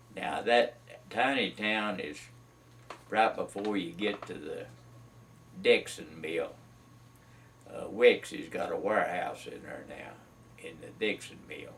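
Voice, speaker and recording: With a Carolina Piedmont accent, a man talks with big swings in loudness and long, frequent pauses. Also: fairly slow pace. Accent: Southern US (Carolina Piedmont). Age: 70s. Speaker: retired mill worker sharing memories. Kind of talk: oral history interview. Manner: halting, many fillers.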